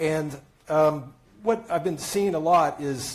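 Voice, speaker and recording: A man speaks in a somewhat breathy voice with a fairly high pitch. His pitch varies in an ordinary way, and the room echo is audible. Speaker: tech analyst. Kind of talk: conference talk. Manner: halting, many fillers.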